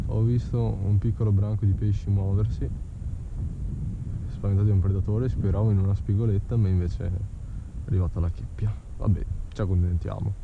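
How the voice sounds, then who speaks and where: A man at a fairly quick pace, in a dry sound with no echo, against noticeable background noise. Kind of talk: casual vlog commentary. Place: boat. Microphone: phone near.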